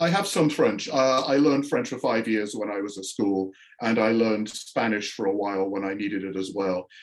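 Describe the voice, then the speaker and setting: This man talks at a fairly quick pace. He has a slight English accent. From northern England, Yorkshire. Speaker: astrophysicist and sci-fi author. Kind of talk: interview.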